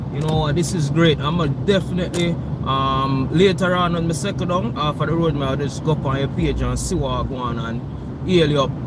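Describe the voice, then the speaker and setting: A man's fairly high-pitched, fairly quick speech with ordinary pitch variation, amid noticeable background noise and audible room echo. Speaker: driver vlogger. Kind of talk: live stream chat while driving. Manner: loud.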